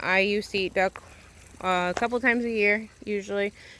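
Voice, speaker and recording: A woman speaks at a medium pitch in a flat monotone over noticeable background noise. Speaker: homesteader vlogger. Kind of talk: casual vlog walkthrough. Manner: fast.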